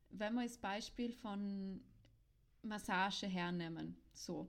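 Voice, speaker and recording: A woman's somewhat breathy voice, very slow in pace, with lively intonation. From South Tyrol. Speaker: podcast co-host, sex educator. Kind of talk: casual chat.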